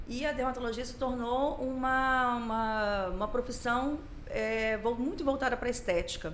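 Audible room echo surrounds a woman speaking at a high pitch and a moderate pace, with ordinary pitch variation. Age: 40s. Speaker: dermatologist. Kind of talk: podcast interview. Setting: studio.

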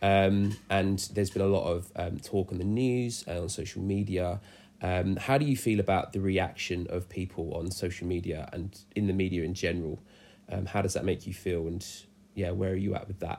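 With an English accent, a man speaks in a very deep, low voice. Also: moderate pace. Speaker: church youth podcast host. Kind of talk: casual chat. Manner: upbeat, frequent fillers.

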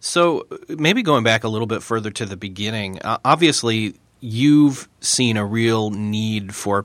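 A man with a General American accent speaks in a fairly low pitch on a very clean recording with a silent background. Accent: general American, flat. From US New York state. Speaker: podcast host. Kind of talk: interview, casual conversation.

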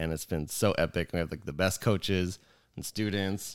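In a very clean recording with a silent background, a man speaks at a fairly quick pace. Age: 30s. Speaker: podcast co-host and jiu jitsu academy owner. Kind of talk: casual chat. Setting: studio with headphones and mics. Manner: louder than co-host.

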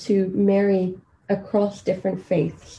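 Her voice is somewhat breathy. The woman's tone is dark and mellow. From Kenya. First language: Swahili. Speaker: medical doctor and PhD student. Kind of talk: interview. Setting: at home.

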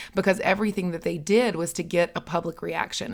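A woman with an American accent, fairly low in pitch, very fast and fairly even in intonation, on a very clean recording with a silent background. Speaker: podcast host. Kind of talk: casual chat.

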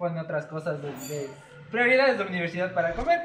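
A man speaks at a fairly quick pace with very wide pitch swings, and the room echo is audible. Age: 20s. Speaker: camera operator. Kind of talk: casual chat.

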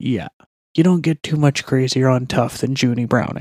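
Quiet speech in a dry, close sound with no echo. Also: man. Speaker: MMA podcast segment host. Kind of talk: casual commentary.

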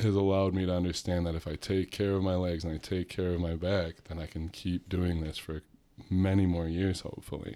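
With a very deep, low pitch and a dark, mellow tone, the man talks in a flat monotone at a fairly quick pace. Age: 30s. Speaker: podcast co-host. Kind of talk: casual chat.

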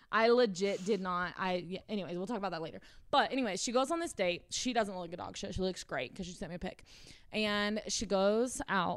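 At a fairly quick pace, a woman talks in a medium pitch with an animated tone and lively intonation. The recording is very clean, with a silent background. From South Carolina. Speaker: podcast co-host. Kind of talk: casual chat.

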